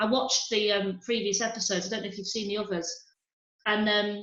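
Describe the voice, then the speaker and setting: A woman with a Yorkshire accent speaks at a medium pitch with fairly even intonation. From Harrogate, Yorkshire, England. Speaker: stand-up comedian. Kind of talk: interview answer. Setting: video call.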